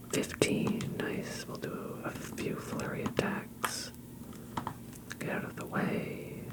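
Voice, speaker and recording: Whispering in a calm tone at a very slow pace, the voice comes through noticeable background noise. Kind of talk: ASMR gaming commentary. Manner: soft-spoken, calm.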